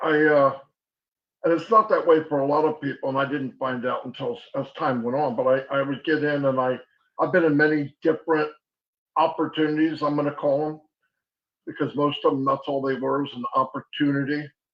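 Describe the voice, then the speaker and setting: With a plain, everyday voice, a man talks at a fairly quick pace in a fairly high pitch with fairly even intonation. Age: 60s. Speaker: online marketer. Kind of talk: webinar presentation.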